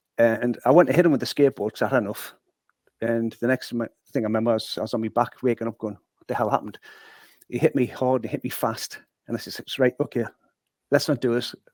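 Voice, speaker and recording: Speaking with a Geordie accent, a man at a medium pitch talks at a very fast pace yet takes long, frequent pauses, his loudness swinging widely in a dry, close sound with no echo. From northeast England, Newcastle (Newburn). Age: 60s. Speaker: former boxer and sales manager. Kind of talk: podcast interview, life story. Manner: animated storytelling.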